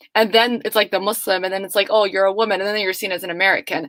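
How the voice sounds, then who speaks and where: With a Somali accent, a woman of medium pitch speaks in fairly even intonation, in a dry, close sound with no echo. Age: young. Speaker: student panelist. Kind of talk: panel discussion.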